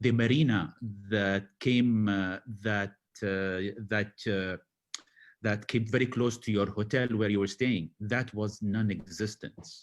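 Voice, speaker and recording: There is a quiet background as a man speaks at a very slow pace. His intonation stays fairly even. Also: fairly low pitch for a man. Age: 40s. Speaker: panel guest. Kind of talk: casual chat. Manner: halting.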